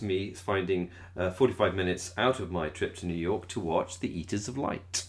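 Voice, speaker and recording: Animated in tone, a man with a very deep, low pitch talks with hardly any pauses. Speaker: podcast host. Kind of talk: casual chat. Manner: animated, laughs often.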